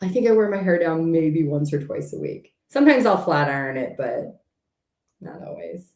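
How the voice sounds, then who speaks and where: A woman's voice at a moderate pace, with big swings in loudness. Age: 40s. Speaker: tarot reader. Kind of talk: live stream chat. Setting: home live stream. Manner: direct.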